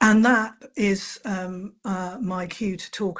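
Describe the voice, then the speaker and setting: A somewhat breathy woman at medium pitch with fairly even intonation, over a quiet background. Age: 60s. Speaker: charity chief executive. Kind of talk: webinar presentation. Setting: online webinar. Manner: hesitant with fillers.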